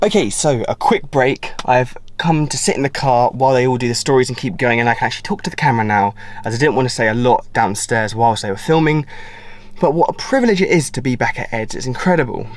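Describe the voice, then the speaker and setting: A man with an English accent talks at a very fast pace with lively intonation and medium pitch. Noticeable background noise runs underneath. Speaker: car vlogger. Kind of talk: vlog to camera. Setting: in a car.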